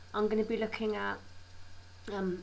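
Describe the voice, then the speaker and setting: With audible room echo, a woman speaks at a moderate pace in a British accent. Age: 20s. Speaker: healthcare assistant and video blogger. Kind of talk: informational vlog.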